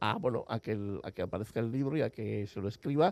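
Against a quiet background, a man talks at a very fast pace with vocal fry in a dry, close sound with no echo. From Basque Country, Spain (Villabona, Gipuzkoa). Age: 50s. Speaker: writer and publisher. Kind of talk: interview. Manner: halting.

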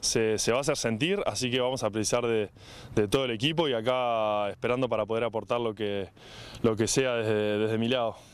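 At a medium pitch, a man speaks fairly quickly. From Uruguay. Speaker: rugby player. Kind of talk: interview.

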